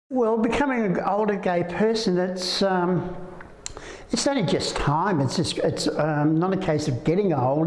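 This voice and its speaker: Lively intonation marks this speaker's Australian accent, with audible room echo around the voice. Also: man. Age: 70s. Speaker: interviewee at community event. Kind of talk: interview. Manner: halting.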